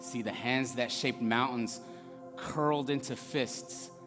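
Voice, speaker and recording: With music playing in the background, a man speaks at a medium pitch with lively intonation. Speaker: spoken word performer. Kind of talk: spoken word poetry reading, rhythmic rhymed verse.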